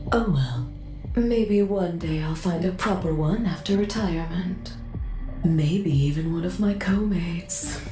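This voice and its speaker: A woman does a put-on character voice at a fairly low pitch and a fairly slow pace. Loud music plays in the background, and there is a slight echo. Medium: machinima. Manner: haughty, severe.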